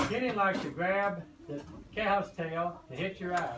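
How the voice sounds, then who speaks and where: A man's high voice is heard with audible room echo and noticeable background noise. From Kentucky. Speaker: grandparent, farmer reading to children. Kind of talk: reading aloud to children. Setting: classroom.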